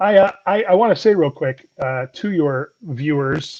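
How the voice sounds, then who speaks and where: With an unremarkable speaking voice, a man talks at a fairly slow pace, his fairly high pitch showing ordinary variation. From US South. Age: 40s. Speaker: comedian. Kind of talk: casual chat.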